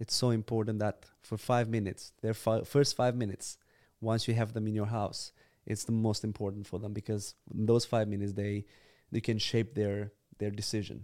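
A man speaks with a Romanian accent at medium pitch, his tone dark and mellow. The recording is very clean with a silent background. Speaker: church planter, youth leader. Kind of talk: casual chat.

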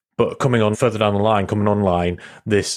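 A man with a plain, everyday voice, fairly low in pitch, at a fairly quick pace with fairly even intonation. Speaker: podcast host. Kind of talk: interview conversation.

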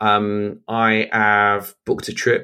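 A British accent comes from a man with a bright, sharp tone and medium pitch. The recording is very clean against a silent background. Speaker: podcast host and business coach. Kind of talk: solo podcast monologue. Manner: casual, many fillers.

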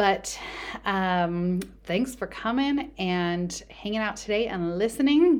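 The pace is very slow. The intonation stays lively throughout. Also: woman, medium pitch for a woman. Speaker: lactation consultant podcast host. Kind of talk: casual solo podcast talk. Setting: home bedroom. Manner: conversational.

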